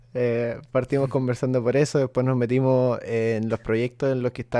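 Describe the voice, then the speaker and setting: With a Chilean accent, a man speaks at a moderate pace in a medium-pitched voice with a dark, mellow tone. The sound is dry and close with no echo, over a quiet background. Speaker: podcast host. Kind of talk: casual chat.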